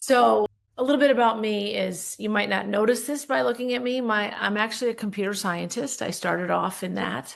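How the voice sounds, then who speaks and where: This woman has an unremarkable speaking voice with a fairly high pitch and ordinary pitch variation. She talks at a fairly quick pace with hardly any pauses. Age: 60s. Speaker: leadership coach and business owner. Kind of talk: podcast interview.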